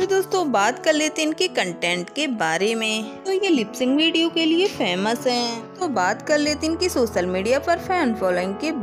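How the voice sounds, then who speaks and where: Over music in the background, a woman talks at a fairly slow pace, her high pitch moving in very wide swings. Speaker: channel narrator. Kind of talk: biography narration.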